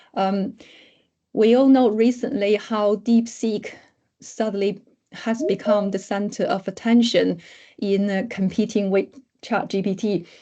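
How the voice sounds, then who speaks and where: A woman with a non-native accent, medium pitch, a dark, mellow tone, fairly even intonation and long, frequent pauses, over a quiet background. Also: fairly slow pace. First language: not English. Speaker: academic researcher. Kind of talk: lecture. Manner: halting.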